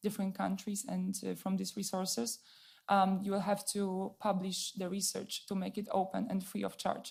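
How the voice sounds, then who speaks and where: A woman's dark, mellow, somewhat breathy voice at a medium pitch, with a Polish accent and a moderate pace. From Poland. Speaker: audience member asking a question. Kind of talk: audience question at a panel event. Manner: halting.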